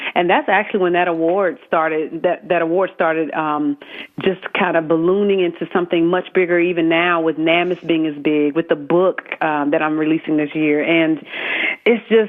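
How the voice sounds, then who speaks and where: A woman with a Southern accent speaks at a moderate pace and a fairly low pitch, her intonation fairly even and her loudness very even. Noticeable background noise runs behind her. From US South, South Carolina. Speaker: military spouse, author and network founder. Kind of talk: radio interview. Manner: halting, many fillers.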